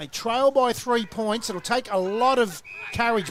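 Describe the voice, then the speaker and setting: A man with a high pitch speaks at a fairly slow pace with ordinary pitch variation. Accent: Australian. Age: 60s. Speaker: football commentator. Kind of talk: live commentary.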